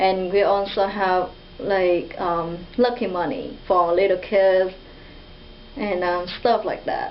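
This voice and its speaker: Over noticeable background noise and audible room echo, a woman speaks at a very slow pace, her medium-pitched voice fairly even in intonation. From Vietnam. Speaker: international student. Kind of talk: interview. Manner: halting.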